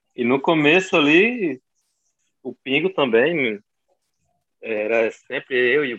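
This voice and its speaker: Speaking at a very slow pace with long, frequent pauses, a man uses lively intonation and big swings in loudness. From João Pessoa, Brazil. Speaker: american football linebacker. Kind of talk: casual interview.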